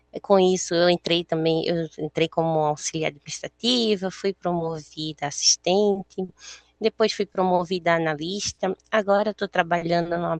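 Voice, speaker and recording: The speech moves at a moderate pace with fairly even intonation and hardly any pauses. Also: woman. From Brazil, Recife (Northeast). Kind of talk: panel talk at online career fair.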